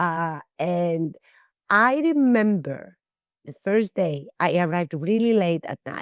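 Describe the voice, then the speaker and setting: Here a woman speaks with a Greek accent. Her tone is animated. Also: quiet background. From Greece, small town. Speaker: actress and screenwriter. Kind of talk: interview storytelling.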